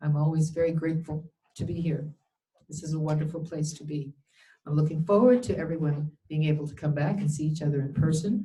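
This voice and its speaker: A woman talks at a fairly quick pace with very deep, low pitch and fairly even intonation. Her voice is somewhat breathy with a dark, mellow tone. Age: 70s. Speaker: nurse and spiritual teacher.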